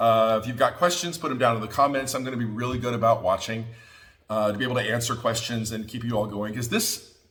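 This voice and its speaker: A medium-pitched man speaks very fast, with noticeable background noise in the mix. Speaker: quilting teacher. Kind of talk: tutorial. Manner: loud; animated.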